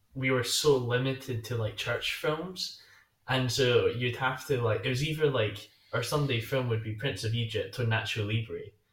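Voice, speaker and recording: The man's voice is somewhat breathy and medium in pitch. He talks at a moderate pace with fairly even intonation. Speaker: podcast co-host. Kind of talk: casual chat.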